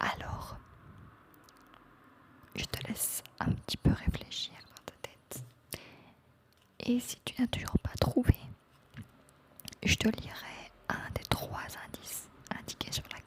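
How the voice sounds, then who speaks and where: A woman whispers very slowly with long, frequent pauses and big swings in loudness. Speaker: ASMR creator. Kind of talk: ASMR game video, casual talk to camera. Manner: whispered, soft, slow.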